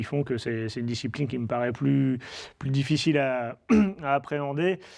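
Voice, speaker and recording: Noticeable background noise sits behind the speaker. He is a man with fairly even intonation. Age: 30s. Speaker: motorcycle road racer. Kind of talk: interview. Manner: hesitant, many fillers.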